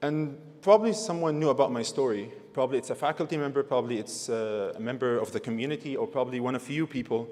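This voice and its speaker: Noticeable background noise sits under a man with a non-native accent who talks very fast in a fairly high pitch. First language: not English. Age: 20s. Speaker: graduating student speaker. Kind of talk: convocation speech.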